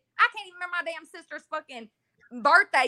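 In a raised, projected voice, a woman with an American accent sounds animated. Her pitch varies in an ordinary way, and the sound is dry and close with no echo. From Texas, Dayton. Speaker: caller. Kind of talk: casual chat.

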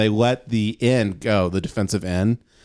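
With a medium pitch, a man speaks in an animated tone. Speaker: podcast host. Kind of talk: street seller pitchman, mock carnival barker ad. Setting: studio. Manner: animated, rapid-fire, riffing with co-host.

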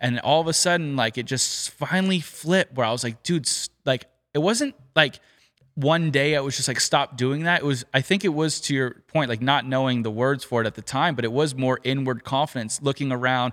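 At a fairly quick pace, a man with an American accent and a medium pitch uses an ordinary speaking voice, with ordinary pitch variation on a very clean recording with a silent background. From California. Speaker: professional golfer. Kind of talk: casual chat.

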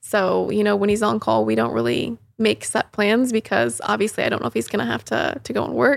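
With an American accent, a woman speaks in a very clean recording over a silent background. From Indiana, US Midwest. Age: 20s. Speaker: wellness podcast host. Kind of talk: casual chat.

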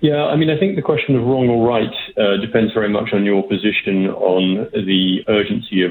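A man speaks with a British accent. His pace is fairly quick. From Britain. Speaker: energy policy expert. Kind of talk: radio interview. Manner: hesitant, fills with 'um'.

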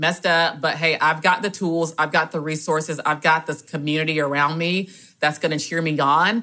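Her tone bright and sharp, a woman with a Southern US accent speaks at a very deep, low pitch and a moderate pace with fairly even intonation, on a very clean recording with a silent background. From US South, rural south Georgia. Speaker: guest sharing debt story. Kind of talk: testimony.

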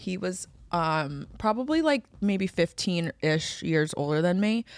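In a very clean recording with a silent background, dry and close with no echo, a woman with an unremarkable speaking voice talks fairly slowly at a fairly low pitch, her pitch varying in an ordinary way. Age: 30s. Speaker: podcast co-host. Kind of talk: casual chat.

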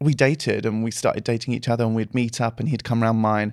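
In a very clean recording with a silent background, a man with a normal speaking voice talks at medium pitch with fairly even intonation. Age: 30s. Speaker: actor and dancer. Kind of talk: casual chat.

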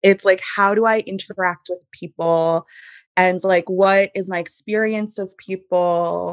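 A woman with an American accent, medium pitch and monotone, flat intonation at a fairly slow pace, in a dry, close sound with no echo on a very clean recording with a silent background. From US Northeast, Hudson Valley, New York. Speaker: astrologer. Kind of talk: casual chat.

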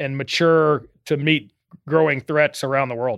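Here is an ordinary speaking voice from a man with an American accent. His fairly high voice moves at a fairly quick pace with fairly even intonation. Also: dry, close sound with no echo. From Texas, Austin. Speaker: retired navy captain, former carrier commander. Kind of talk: podcast interview.

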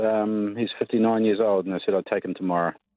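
A man is speaking. He has a New Zealand accent. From New Zealand, Cromwell. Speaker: mining company executive. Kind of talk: radio interview. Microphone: lag on the line.

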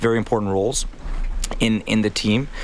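Here a man with an unremarkable speaking voice talks at a moderate pace and with fairly even intonation. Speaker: high school soccer coach and teacher. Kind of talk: radio interview. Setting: radio studio.

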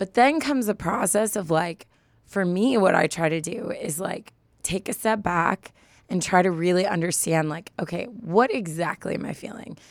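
Husky and hoarse, a woman's voice carries an animated tone with ordinary pitch variation. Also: moderate pace. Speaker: advice podcast co-host. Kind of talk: casual chat.

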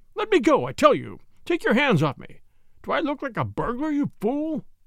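A put-on character voice at a high pitch moves along at a moderate pace. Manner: desperate, indignant.

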